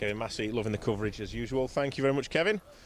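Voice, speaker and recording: The speaker has a Cheshire accent. The pace is very fast. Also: man. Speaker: rally commentator. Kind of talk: live commentary. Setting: outdoors. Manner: conversational.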